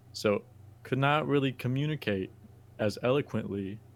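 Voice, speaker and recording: Lively intonation marks this man's speech. He talks with a Spanish accent. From Texas. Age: 20s. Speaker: podcast host. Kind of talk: casual storytelling.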